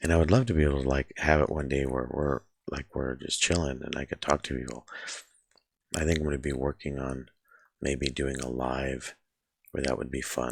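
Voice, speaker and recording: Vocal fry marks a man's very deep, low pitch as he keeps fairly even intonation. His pace is moderate, with long, frequent pauses. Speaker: artist drawing on video. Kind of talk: casual narration while drawing.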